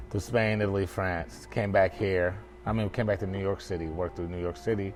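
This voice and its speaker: A man speaks in a very deep, low voice with ordinary pitch variation. Music plays in the background. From Nigeria, England and Dallas, Texas. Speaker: chef and restaurant owner. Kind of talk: casual interview. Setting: at his restaurant. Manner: halting, many fillers.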